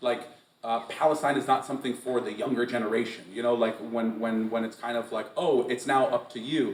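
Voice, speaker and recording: Noticeable background noise sits behind a man with an American accent. He talks at a very fast pace with medium pitch. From US Northeast, western Massachusetts. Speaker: poet. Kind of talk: Q&A session. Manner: animated.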